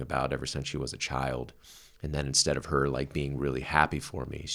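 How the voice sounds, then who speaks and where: A man's very deep, low voice with vocal fry, monotone, flat intonation, and a moderate pace. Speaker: podcast co-host. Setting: podcast recording. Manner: playful, joking.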